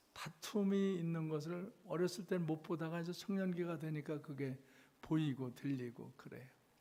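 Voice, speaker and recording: A man's fairly high voice with a dark, mellow tone and ordinary pitch variation. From South Korea, Chungcheong (Cheonan). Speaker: revival preacher. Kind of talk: sermon. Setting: church. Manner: slow speech; halting.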